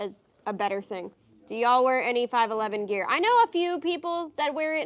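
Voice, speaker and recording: The pace is fairly quick. A woman speaks with a high pitch. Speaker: business owner hosting livestream. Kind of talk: casual livestream chat. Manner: fast.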